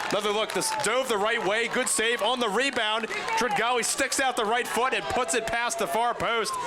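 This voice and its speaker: A man uses a raised, projected voice at an extremely high pitch, keeping his loudness very even. Noticeable background noise can be heard. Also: ordinary pitch variation, moderate pace. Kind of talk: sports play-by-play. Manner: excited.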